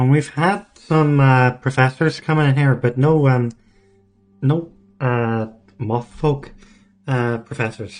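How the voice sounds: A put-on character voice in a Belfast accent, nasal and low-to-middle in pitch, at a fairly slow pace with long, frequent pauses over faint music in the background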